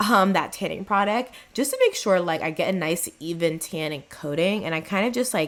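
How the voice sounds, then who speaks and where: At a moderate pace with hardly any pauses, a woman uses an ordinary speaking voice with medium pitch and ordinary pitch variation. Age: 20s. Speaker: beauty vlogger. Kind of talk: tutorial. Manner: casual.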